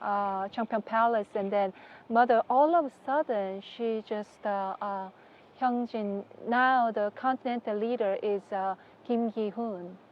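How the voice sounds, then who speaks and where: With a Korean accent, a woman speaks at a fairly high pitch and fairly slow pace, using ordinary pitch variation. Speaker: religious leader's wife. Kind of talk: interview. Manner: halting.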